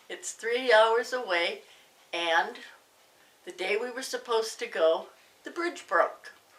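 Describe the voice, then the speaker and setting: With a Canadian accent, a woman speaks at a very slow pace, leaving long, frequent pauses, her loudness swinging widely and her pitch swinging very widely over noticeable background noise. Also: fairly high pitch for a woman. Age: 60s. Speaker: YouTuber recovering from a heart attack. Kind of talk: casual personal testimony. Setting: home living room.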